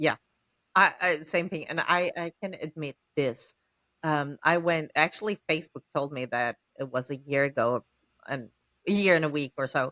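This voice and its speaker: In a dry, close sound with no echo, a woman with a very deep, low pitch and a bright, sharp tone speaks with ordinary pitch variation and long, frequent pauses. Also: moderate pace. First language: not English. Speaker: podcast host, small business owner. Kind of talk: casual podcast conversation.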